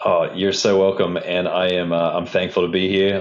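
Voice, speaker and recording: A man with a slight Australian accent, at a fairly quick pace. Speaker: civil engineer, stormwater infrastructure manager. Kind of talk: podcast interview.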